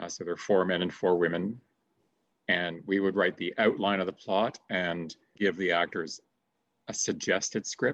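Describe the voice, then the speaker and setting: A very deep, low male voice with a Canadian accent at a moderate pace, dry and close with no echo. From Canada, Streetsville (Mississauga), Ontario. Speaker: theater director and retired drama teacher. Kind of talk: interview.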